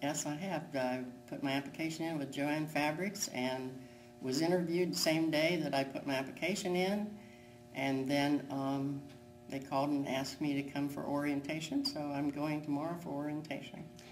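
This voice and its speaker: Very deep, low pitch from a woman, with fairly even intonation, a moderate pace and music in the background. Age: 80s+. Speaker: retail worker. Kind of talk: interview answer.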